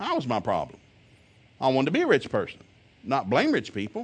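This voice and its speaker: A man talks at a very fast pace in an animated tone, with a Southern US accent. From US South. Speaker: preacher. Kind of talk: sermon.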